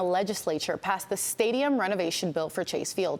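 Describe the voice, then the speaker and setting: In a normal speaking voice, a woman talks fairly quickly at a medium pitch, with lively intonation. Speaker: news anchor. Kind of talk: TV news anchor delivery. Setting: broadcast studio.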